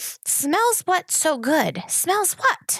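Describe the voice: A woman puts on a character voice at an extremely high pitch, with hissing.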